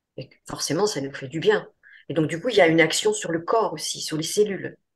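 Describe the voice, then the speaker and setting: The woman's voice is somewhat breathy. She moves along at a fairly quick pace. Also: fairly low pitch for a woman, ordinary pitch variation, big swings in loudness. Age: 70s. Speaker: psychoanalyst and yoga and meditation teacher. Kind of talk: interview. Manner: halting.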